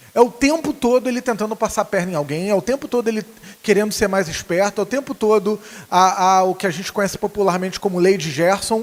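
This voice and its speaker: A Rio de Janeiro accent at a very fast pace, with ordinary pitch variation. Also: man, high pitch for a man. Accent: carioca accent noticeable. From Rio de Janeiro, Brazil. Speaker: preacher. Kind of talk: sermon. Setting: church. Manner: halting, many fillers.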